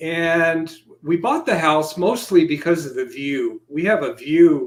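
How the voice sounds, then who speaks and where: It's an unremarkable speaking voice from a man with a fairly high pitch. He talks at a fairly slow pace. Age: 60s. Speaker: ufologist. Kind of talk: interview.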